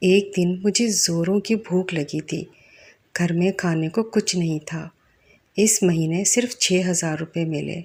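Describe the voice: A woman speaks fairly slowly in a fairly low, slightly mellow voice with a slightly husky edge and fairly even intonation.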